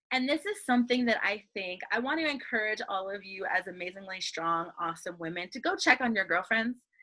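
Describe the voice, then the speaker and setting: A loud, animated woman with a medium pitch, a bright, sharp tone, lively intonation, a fairly quick pace and hardly any pauses. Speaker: workshop coach. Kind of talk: online workshop talk.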